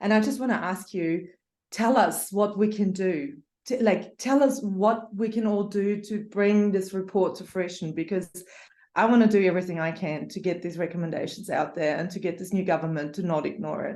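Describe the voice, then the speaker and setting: A woman's medium-pitched voice with a dark, mellow tone, ordinary pitch variation, and a moderate pace. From Austria. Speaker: audience member, energy researcher. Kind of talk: question in Q&A. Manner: quiet, hushed.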